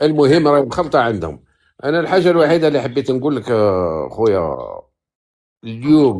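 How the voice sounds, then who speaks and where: The voice moves at a moderate pace. Its pitch makes very wide swings. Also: man. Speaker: caller. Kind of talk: casual chat.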